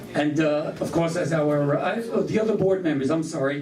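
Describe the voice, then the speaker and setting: A man with a fairly high voice talks at a moderate pace with ordinary pitch variation, amid audible room echo and noticeable background noise. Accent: Brooklyn. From New York, Brooklyn. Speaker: event host, master of ceremonies. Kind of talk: ceremony introduction speech. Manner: halting, many fillers.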